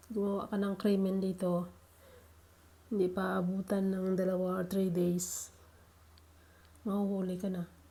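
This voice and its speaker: A woman with a medium pitch and a dark, mellow tone speaks somewhat breathily at a fairly slow pace, in a monotone, flat intonation with long, frequent pauses. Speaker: vlogger. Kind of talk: vlog voice-over. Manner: casual.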